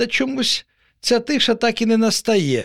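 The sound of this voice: A man's put-on character voice at an extremely high pitch, with big pitch swings, vocal fry, a fairly bright tone and a moderate pace.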